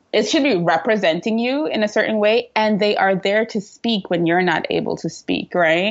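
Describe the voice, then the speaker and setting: A woman with a slight Trinidadian accent speaks at a fairly high pitch with ordinary pitch variation. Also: moderate pace, very even loudness. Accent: light Trinidadian. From Trinidad and Tobago. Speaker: PR and social media entrepreneur. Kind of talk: interview.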